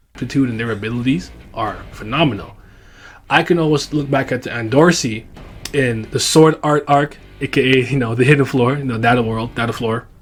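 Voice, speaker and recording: Over music in the background, the speaker talks at a fairly quick pace with fairly even intonation. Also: man, medium pitch for a man. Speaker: anime commentary youtuber. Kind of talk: video commentary. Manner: halting, repeated words.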